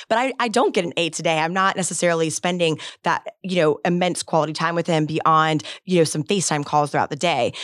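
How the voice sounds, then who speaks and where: An unremarkable speaking voice from a woman, fairly low-pitched and fairly quick, with an American accent. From Florida, Gulf Coast (Bradenton). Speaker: state agency head and lawyer. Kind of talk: interview.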